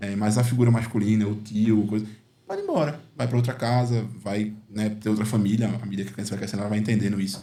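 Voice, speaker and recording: Audible room echo surrounds a man of medium pitch who speaks very fast with fairly even intonation and a dark, mellow tone. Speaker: uncle and father figure to a nephew. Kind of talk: podcast conversation. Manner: halting, many fillers.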